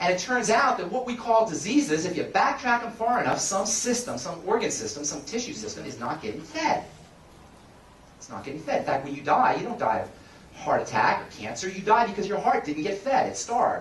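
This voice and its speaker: A man talks fast-ish and animated, high in pitch with very wide pitch swings and big shifts in loudness. Audible room echo and noticeable background noise come through. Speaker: pharmacist and nutrition speaker. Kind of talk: seminar talk.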